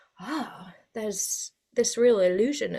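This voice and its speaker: A woman with a British accent at a fairly high pitch. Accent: sounds very British. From Spain. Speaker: mythologist and writer. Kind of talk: podcast interview. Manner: hesitant with many fillers.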